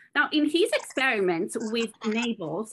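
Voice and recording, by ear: The woman's tone is fairly bright. She speaks at a fairly slow pace.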